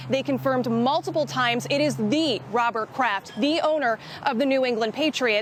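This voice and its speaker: Against noticeable background noise, a woman speaks high in pitch at a moderate pace, her pitch varying in an ordinary way. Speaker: television investigative reporter. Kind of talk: TV news reporter, live field report and packaged story. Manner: urgent, live-shot delivery.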